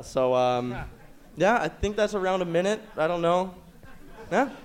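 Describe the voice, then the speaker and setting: With a Canadian accent, a man speaks at a moderate pace in a high pitch. His intonation is lively. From Ontario, Canada. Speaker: amateur comedian. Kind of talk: stand-up. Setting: stage with audience.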